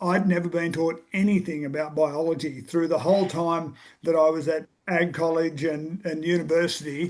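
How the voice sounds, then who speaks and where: A man with an Australian accent speaks at a moderate pace in a high voice with fairly even intonation. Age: 60s. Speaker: farmer. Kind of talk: casual chat.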